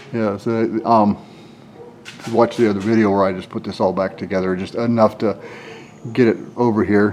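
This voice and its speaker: A man with an American accent speaks at a moderate pace in a monotone, flat way, with long, frequent pauses and noticeable background noise. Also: fairly low pitch for a man. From northwestern Pennsylvania. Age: 60s. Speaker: auto mechanic. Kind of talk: casual tutorial walkthrough. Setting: garage workshop. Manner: casual, halting with fillers.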